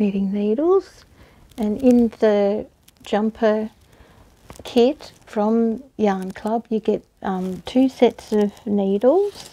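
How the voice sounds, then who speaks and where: A fairly high-pitched woman with an Australian accent and a dark, mellow tone at a very slow pace. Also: ordinary pitch variation. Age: 60s. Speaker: knitting and crochet hobbyist. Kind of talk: casual talk to camera. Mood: warm, relaxed, chatty. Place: home room. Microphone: lapel.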